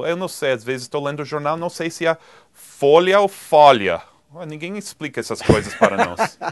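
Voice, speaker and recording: A man with a strong Spanish accent, fairly high in pitch, at a moderate pace with lively intonation. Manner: conversational.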